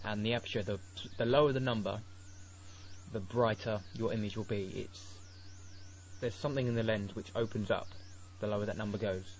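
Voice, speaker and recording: A man speaks fairly quickly at a fairly low pitch. His voice is somewhat breathy, with fairly even intonation. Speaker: software tutorial maker. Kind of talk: tutorial. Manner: halting.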